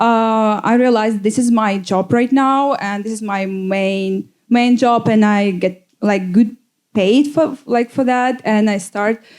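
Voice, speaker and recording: In a Russian accent, a woman speaks very slowly in a fairly high voice with ordinary pitch variation. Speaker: DJ. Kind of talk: panel talk. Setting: stage with audience. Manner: halting.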